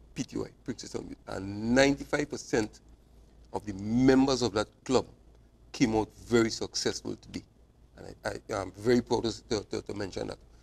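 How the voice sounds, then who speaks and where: Speaking at a fairly slow pace, a man shows vocal fry and keeps his intonation fairly even. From Trinidad and Tobago. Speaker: cycling club president and manager; cycling coach or club official guest. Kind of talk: TV sports interview. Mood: proud, grateful. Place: studio. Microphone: lapel.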